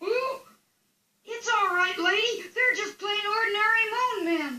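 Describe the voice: This is a cartoonish character voice at an extremely high pitch. It runs at a moderate pace.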